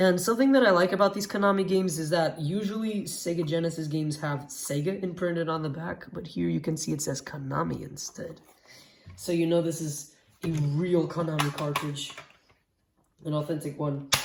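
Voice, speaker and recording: Somewhat breathy, a woman speaks at a fairly quick pace in a fairly low pitch. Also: ordinary pitch variation. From Portugal. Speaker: retro game collector youtuber. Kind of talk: unboxing video. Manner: excited, exclamatory.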